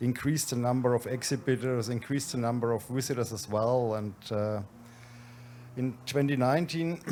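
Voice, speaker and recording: With fairly even intonation, a man speaks at a moderate pace and medium pitch in a dark, mellow tone. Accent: Franconian. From Germany, Franconia. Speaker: event organizer, managing director. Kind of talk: conference presentation.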